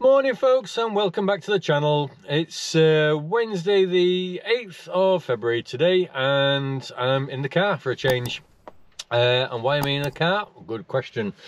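A man at a fairly slow pace, dry sound with no echo, light background noise. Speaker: motorcycle vlogger. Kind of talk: casual vlog chat. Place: car. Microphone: phone near.

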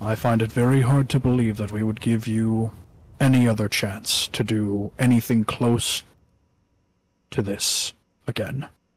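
The man's pitch is medium, and he keeps a moderate pace. His intonation is monotone and flat, with long, frequent pauses. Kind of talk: tabletop roleplay in character. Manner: formal, cold, menacing.

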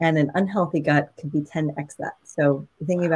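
Over a quiet background, a woman with an American accent and a very deep, low pitch talks at a moderate pace with ordinary pitch variation. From New York. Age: 40s. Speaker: nutrition and wellness coach; wellness coach. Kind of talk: virtual masterclass talk. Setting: video call livestream. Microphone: webcam.

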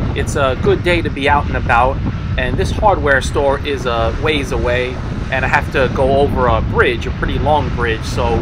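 A moderate pace over loud background noise. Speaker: vlogger riding a scooter. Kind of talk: casual vlog chat. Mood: relaxed, upbeat. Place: motorbike.

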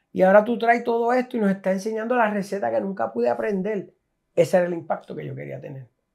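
A man talks at a very fast pace in a high pitch, his voice making very wide pitch swings and big swings in loudness. The background is quiet. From Puerto Rico. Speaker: food content creator, chef; food content creator. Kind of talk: casual interview. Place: home room. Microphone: lapel.

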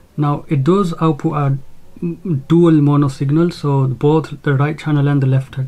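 Somewhat breathy and dark, mellow in tone, a man speaks at a moderate pace in a flat monotone. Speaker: gear reviewer. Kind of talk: tutorial. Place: home room. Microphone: phone near.

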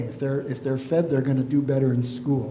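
At a fairly quick pace, the voice comes through with audible room echo. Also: man. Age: 60s. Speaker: school board candidate. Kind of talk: candidate forum answers.

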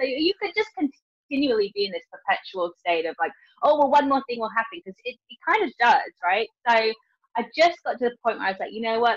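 Fairly quick speech with very wide pitch swings against a quiet background. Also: woman. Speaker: guest. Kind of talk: interview answer. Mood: reflective, self-deprecating, laughing. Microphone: video call.

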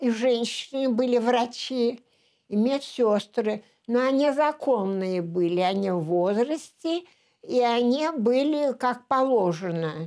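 Against a quiet background, a woman with a high-pitched voice speaks at a very slow pace, her loudness very even and her intonation lively. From Leningrad, Russia; Russia. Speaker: war veteran. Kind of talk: oral history interview. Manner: halting. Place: home room.

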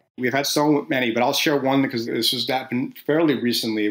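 Delivered at a fairly quick pace, this is an ordinary speaking voice in an American accent. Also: man. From New Jersey. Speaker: company CEO. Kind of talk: interview.

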